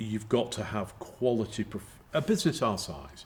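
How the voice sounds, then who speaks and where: A man's fairly low voice with vocal fry. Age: 60s. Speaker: company chairman. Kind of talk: interview. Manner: halting.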